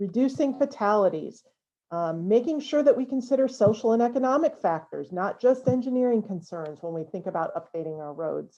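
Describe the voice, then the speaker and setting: Dark, mellow tone at a fairly quick pace, with very wide pitch swings and big swings in loudness over a quiet background. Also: woman, fairly high pitch for a woman. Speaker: cycling advocacy spokesperson. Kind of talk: advocacy video message. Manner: fast.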